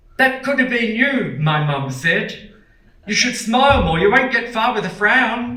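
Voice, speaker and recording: Raising and projecting his voice, a man with an Australian accent speaks in a bright, sharp tone with very wide pitch swings, and room echo is audible. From Australia, Melbourne (Port Melbourne). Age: 60s. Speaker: performer and lecturer. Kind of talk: lecture.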